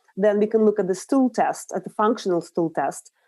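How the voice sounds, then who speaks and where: With a Russian accent, a woman speaks in a fairly high voice that has a dark, mellow tone. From Russia, Urals. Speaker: nutritional therapist. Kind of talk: interview.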